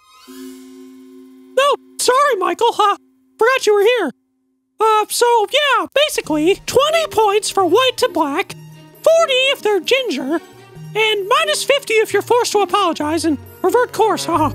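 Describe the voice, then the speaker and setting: A squeaky, cartoonish character voice talks at a moderate pace with long, frequent pauses. Faint music plays in the background. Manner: brash, sarcastic, profane.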